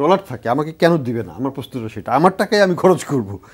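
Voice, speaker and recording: A man talks at a fairly high pitch with very wide pitch swings. Vocal fry runs through his voice. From Bangladesh. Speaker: economist; talk show guest. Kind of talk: studio panel discussion. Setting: studio. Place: studio. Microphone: lapel.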